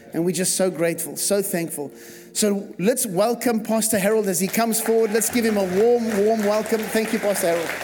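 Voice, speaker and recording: Animated and high-pitched, a man talks at a fairly quick pace with very even loudness while crowd noise sounds in the background. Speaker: pastor. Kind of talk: church service welcome. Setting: church.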